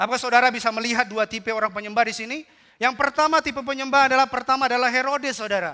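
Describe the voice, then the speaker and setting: A raised, projected voice with a bright, sharp tone races along very fast. The recording is very clean, with a silent background. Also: man, extremely high pitch for a man, fairly even intonation. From North Sumatra (Batak). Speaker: pastor. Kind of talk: sermon.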